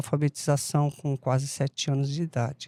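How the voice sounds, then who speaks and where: A dark, mellow tone in a dry, close sound with no echo, on a very clean recording against a silent background. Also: woman. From Brazil, São Paulo (Mooca). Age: 70s. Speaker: podcast guest, life coach. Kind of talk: interview conversation.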